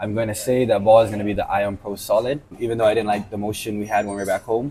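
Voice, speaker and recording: At a very fast pace, a man with a fairly low pitch speaks in a monotone, flat intonation, his voice somewhat breathy. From Guam. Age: 20s. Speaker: bowler. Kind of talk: interview.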